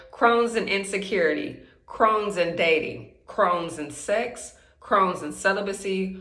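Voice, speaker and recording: Over audible room echo, a woman at a medium pitch speaks at a fairly slow pace with ordinary pitch variation. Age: 30s. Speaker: vlogger sharing chronic illness story. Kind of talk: personal testimony vlog. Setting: bathroom at home. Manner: excited, slightly halting.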